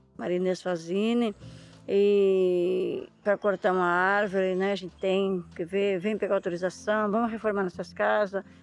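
Monotone, flat delivery from a woman at a medium pitch and fairly slow pace, with music in the background. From Brazil, São Paulo coast (Ilha de Búzios, caiçara community). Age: 50s. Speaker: fisherwoman and artisan. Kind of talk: casual chat. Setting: outdoors.

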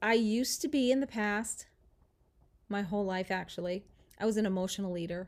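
This woman has a medium pitch and fairly even intonation. Her moderate pace comes through in a very clean recording with a silent background. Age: 50s. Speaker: weight loss podcast host. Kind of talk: casual monologue. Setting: home, at computer.

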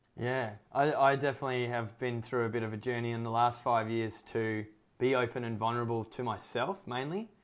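At a fairly quick pace, a man talks at a medium pitch in an ordinary speaking voice. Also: fairly even intonation. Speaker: podcast host. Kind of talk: casual interview. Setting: remote call, evening.

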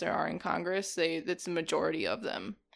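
A woman with an Upper Midwest accent talks at a moderate pace. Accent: Upper Midwest American. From Wisconsin, US (Janesville). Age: 20s. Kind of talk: casual interview.

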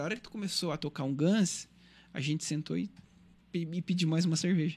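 A man speaks at a fairly quick pace in a high pitch, his intonation fairly even. The sound is dry and close with no echo, on a very clean recording with a silent background. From Criciúma, Santa Catarina, southern Brazil. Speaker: singer and musician. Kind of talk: radio interview, casual chat.

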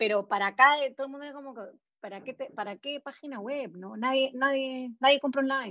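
A woman speaks at a fairly quick pace in a high voice, her pitch varying in an ordinary way while her loudness swings widely. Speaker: entrepreneur, graphic designer. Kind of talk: interview testimony. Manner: halting.

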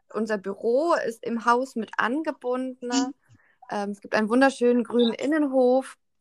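Speaking at a moderate pace, a woman uses a high pitch and fairly even intonation. The recording is very clean, with a silent background. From Berlin. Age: 20s. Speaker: social care worker. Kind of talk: interview.

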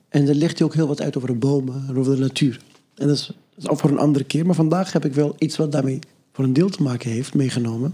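A man at a very fast pace, fairly high in pitch, with a dark, mellow tone and fairly even intonation. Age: young. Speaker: podcast guest sharing a story. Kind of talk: casual conversation. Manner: halting, many repetitions.

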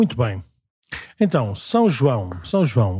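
A man with a medium-pitched, somewhat breathy voice and a dark, mellow tone speaks at a fairly slow pace. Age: 40s. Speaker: parish priest, podcast host. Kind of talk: casual chat.

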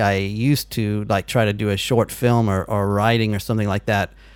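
With an American accent, a man at medium pitch speaks at a moderate pace in an ordinary speaking voice. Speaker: podcast host. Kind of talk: casual phone interview.

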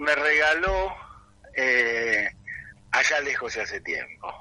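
A man's voice with very wide pitch swings. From Argentina, partly raised in England. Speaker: film director. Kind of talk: interview. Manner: halting, many fillers.

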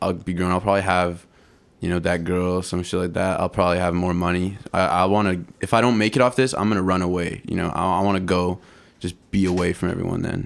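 A man talks at a very fast pace in a very deep, low pitch, his intonation monotone and flat. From Canada, East Vancouver. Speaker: rapper. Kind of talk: casual chat. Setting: studio.

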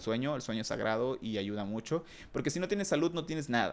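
A man at medium pitch, in a plain, everyday voice, at a fairly quick pace. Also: very clean recording, silent background. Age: 30s. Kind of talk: casual monologue.

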